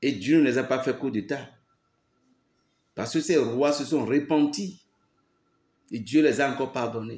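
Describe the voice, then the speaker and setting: Speaking at a fairly slow pace with long, frequent pauses, a man uses a medium pitch and ordinary pitch variation. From Benin. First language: a Beninese language, not French (speaking French). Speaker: pastor. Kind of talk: preaching monologue. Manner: emphatic, repetitive.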